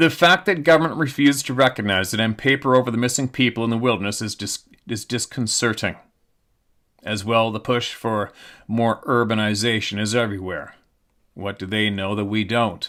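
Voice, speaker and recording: With a bright, sharp tone, a man speaks on a very clean recording with a silent background, his loudness swinging widely and his speech broken by long, frequent pauses. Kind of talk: reading aloud a viewer's submitted account.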